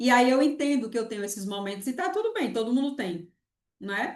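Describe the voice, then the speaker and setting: A woman with a Pernambuco accent speaks at a fairly high pitch with ordinary variation against a quiet background. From Pernambuco, Brazil. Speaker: university lecturer. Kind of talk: online lecture.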